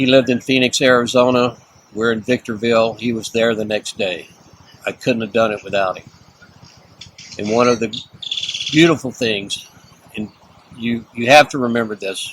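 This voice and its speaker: A man's medium-pitched voice with a Texan accent, fairly even intonation, big swings in loudness, moderate pace, long and frequent pauses, and noticeable background noise. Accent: Texan American. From Texas. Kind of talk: interview answer.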